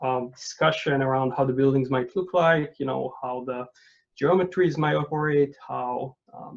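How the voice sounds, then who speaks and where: A man's medium-pitched voice with a non-native accent, fairly even intonation and a moderate pace. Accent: foreign accent, non-native English. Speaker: architect and urban researcher. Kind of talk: lecture. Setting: video call. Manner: halting, many fillers.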